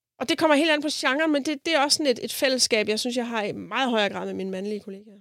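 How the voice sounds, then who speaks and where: Talking very fast with hardly any pauses, a woman uses lively intonation at a high pitch. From Denmark, South Funen. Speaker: jazz composer and bandleader. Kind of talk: interview conversation. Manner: hesitant, filler-heavy.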